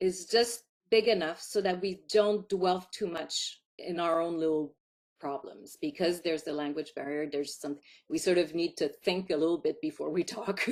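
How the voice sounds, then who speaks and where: With a Quebec accent, a woman talks at a moderate pace in a fairly low pitch. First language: French. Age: 50s. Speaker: filmmaker. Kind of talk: interview.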